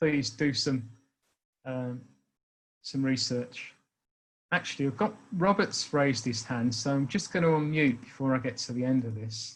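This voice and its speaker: A man with an English accent, medium-pitched and somewhat breathy, at a moderate pace with long, frequent pauses and ordinary pitch variation. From England. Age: 60s. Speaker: speaker on racism. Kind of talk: talk to an online meeting.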